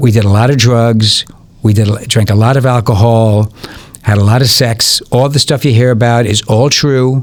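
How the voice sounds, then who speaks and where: In a plain, everyday voice, a man speaks at medium pitch and a moderate pace, with very even loudness and fairly even intonation. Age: 60s. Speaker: music promoter and former DJ. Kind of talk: podcast interview. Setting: studio.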